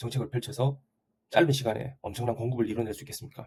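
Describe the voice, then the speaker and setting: A man talks at a very fast pace in a somewhat breathy, medium-pitched voice with a dark, mellow tone and ordinary pitch variation. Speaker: real estate YouTuber. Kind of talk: opinion monologue. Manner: assertive.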